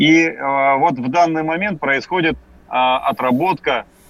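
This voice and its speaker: A man talks with ordinary pitch variation. Background noise is noticeable. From Yakutia, Russia. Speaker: deputy education minister. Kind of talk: radio interview. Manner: formal.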